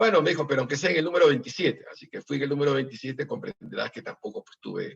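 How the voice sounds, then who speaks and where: A man talks at a very fast pace. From Peru. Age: 60s. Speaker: political candidate. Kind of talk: interview. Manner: halting.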